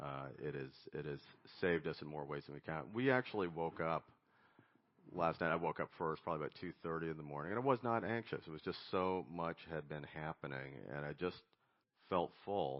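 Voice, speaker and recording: With an American accent, a man speaks at a fairly quick pace in a very deep, low voice with vocal fry. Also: ordinary pitch variation. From United States. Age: 60s. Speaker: recovery fellowship speaker, board chairman. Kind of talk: recovery meeting talk.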